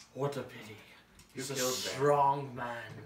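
Using a put-on character voice, a man speaks at a fairly slow pace in a flat monotone, with a slight echo around him. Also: medium pitch for a man. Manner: menacing, contemptuous.

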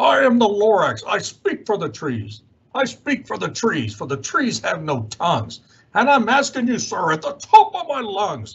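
A man does a put-on character voice pitched high, speaking at a moderate pace. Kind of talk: children's read-aloud character voice. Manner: bossy, scolding.

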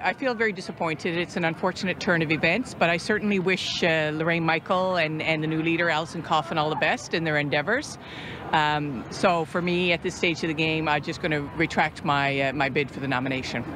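A woman's fairly low voice at a fairly quick pace with hardly any pauses, ordinary pitch variation, a dry sound with no echo and noticeable background noise. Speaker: local politician. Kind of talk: interview answer. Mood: disappointed, measured. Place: street. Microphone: handheld.

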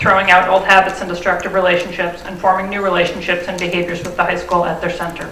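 A woman talks very fast in a flat monotone, with audible room echo around her. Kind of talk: prepared statement at public meeting. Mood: serious, firm. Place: meeting room. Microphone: podium.

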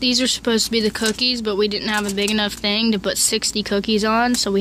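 Over light background noise, a woman speaks in a monotone, flat intonation with a dry sound and no echo. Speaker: vlogger. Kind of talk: casual vlog chat. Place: kitchen. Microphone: phone near.

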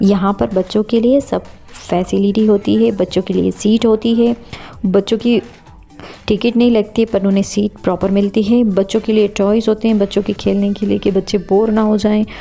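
The voice stays monotone and flat at a fairly slow pace. Its loudness is very even, with faint music in the background. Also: woman. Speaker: family travel vlogger. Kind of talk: casual vlog chat. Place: train.

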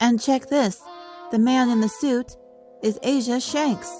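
A high-pitched, female-sounding voice talks fairly slowly in a cartoonish character voice. Faint music plays in the background.

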